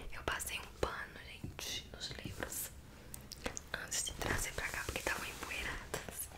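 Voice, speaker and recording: The speaker whispers at a fairly slow pace. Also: woman. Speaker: ASMR content creator. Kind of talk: ASMR book showcase, casual talk to camera. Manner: whispered, soft-spoken. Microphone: studio mic.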